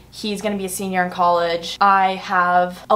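At a fairly slow pace, a woman speaks. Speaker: vlogger. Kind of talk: casual vlog chat. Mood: chatty, slightly emotional. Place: home room. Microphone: camera far.

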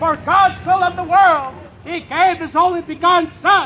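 Light noise sits in the background. A man talks at a fairly slow pace. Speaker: street preacher. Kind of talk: sermon. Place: street. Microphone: camera far.

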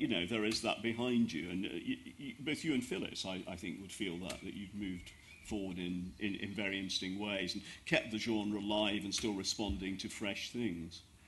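Speaking at a moderate pace, a man with fairly low pitch and a fairly bright tone shows ordinary pitch variation.

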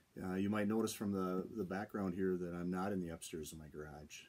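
The man's pitch is very deep and low, and his intonation stays fairly even. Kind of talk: casual vlog chat. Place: office. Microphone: phone near.

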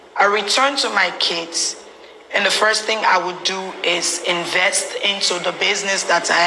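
At a moderate pace, a woman speaks over light background noise. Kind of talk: interview answer. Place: booth.

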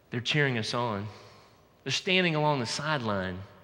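A bright, sharp tone with an American accent and very wide pitch swings. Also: man. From US South, Georgia. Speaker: pastor. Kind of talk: sermon. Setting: church. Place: church. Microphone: headset.

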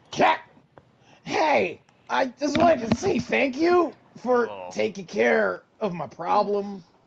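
In a put-on character voice with a fairly high pitch, the speaker goes at a fairly slow pace with long, frequent pauses. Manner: goofy, exaggerated.

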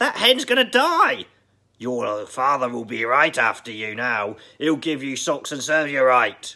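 Shouting in a put-on character voice, a man projects at medium pitch with fairly even intonation and a fairly slow pace. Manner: shouting, scolding.

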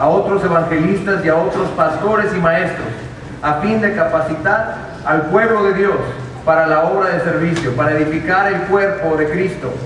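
A man speaks at a moderate pace with few pauses and fairly even intonation. There is audible room echo and clear background noise. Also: fairly high pitch for a man.

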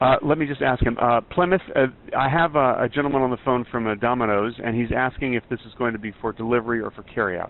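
A man speaks fast with few pauses, his pitch medium. His intonation is fairly even.

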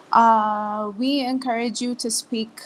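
The woman's voice is fairly high-pitched and somewhat breathy. Her intonation stays fairly even. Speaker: meeting facilitator. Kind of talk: online team standup meeting. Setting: video call.

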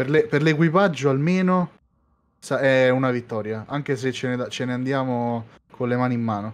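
A man speaks in an unremarkable speaking voice, his medium pitch rising and falling in an ordinary way, with a quiet background behind him. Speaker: fleet crew member/player. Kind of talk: roleplay radio dispatch, quick crisp comms chatter during the attack.

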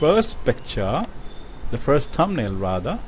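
A somewhat breathy male voice with very wide pitch swings. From India. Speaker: software trainer. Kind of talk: tutorial. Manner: hesitant, many fillers.

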